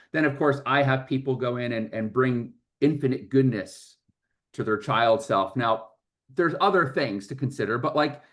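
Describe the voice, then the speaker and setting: An unremarkable speaking voice belongs to this man, with ordinary pitch variation. Behind him the background is quiet. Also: medium pitch for a man, moderate pace. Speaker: workshop presenter, coach. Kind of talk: workshop talk. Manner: repetitive false starts.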